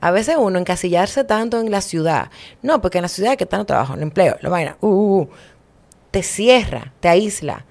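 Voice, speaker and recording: The woman speaks with lively intonation. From Dominican Republic, Santo Domingo; Dominican Republic. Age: 30s. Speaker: social activist and mayoral candidate; podcast guest. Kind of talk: casual interview. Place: studio. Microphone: studio mic.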